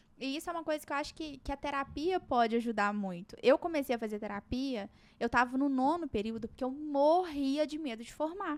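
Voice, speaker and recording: On a very clean recording with a silent background, a woman speaks at a fairly quick pace with a high pitch and lively intonation. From Minas Gerais, Brazil (small town). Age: 20s. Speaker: psychiatry resident doctor. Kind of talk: podcast interview. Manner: conversational, many hesitations and repetitions.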